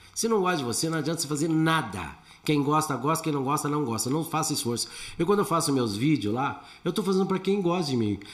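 Against noticeable background noise, a man speaks very fast at a fairly high pitch. His intonation is lively while his loudness stays very even. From Brazil, São Paulo. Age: 60s. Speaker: comedian. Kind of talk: casual chat.

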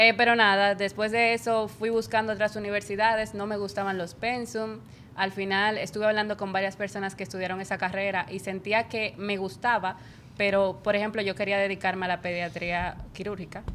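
This woman has an ordinary speaking voice. She talks at a fairly quick pace with fairly even intonation. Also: medium pitch for a woman. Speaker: podcast co-host, multimedia student. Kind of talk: casual chat.

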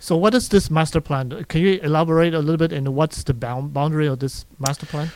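Very fast pace with ordinary pitch variation. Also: man, fairly high pitch for a man. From Panama. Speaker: radio co-host and community organization president. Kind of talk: radio chat show. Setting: studio.

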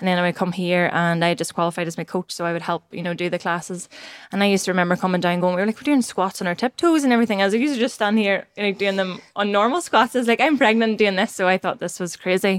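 A woman talks at a very fast pace with a Northern Irish accent, hardly pausing at all. Her pitch is medium, with ordinary variation. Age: 30s. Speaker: podcast host. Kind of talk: casual chat.

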